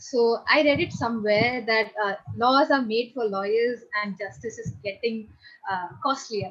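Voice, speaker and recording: Speaking at a fairly slow pace with an Indian accent, a woman with a fairly high pitch shows ordinary pitch variation. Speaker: audience participant. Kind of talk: audience question.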